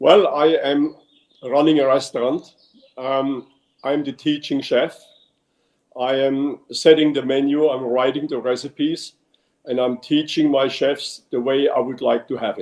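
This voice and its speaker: A man with a German accent speaks at a fairly slow pace, leaving long, frequent pauses. His pitch is fairly high, and his intonation is monotone and flat. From Germany, Munich, Bavaria. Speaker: restaurant owner and chef. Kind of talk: interview. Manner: hesitant, many fillers.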